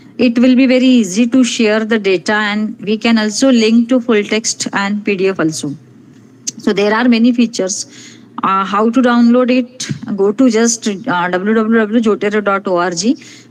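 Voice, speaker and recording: A woman's fairly high voice with fairly even intonation and very even loudness, over noticeable background noise. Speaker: resource person at academic webinar. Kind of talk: lecture-style software tutorial. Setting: online webinar.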